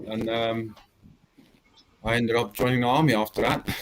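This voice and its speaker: A man with a strong South African accent, at a medium pitch and a moderate pace. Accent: South African, still strong. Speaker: army veteran and Star Wars extra. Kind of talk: interview chat. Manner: hesitant, many fillers.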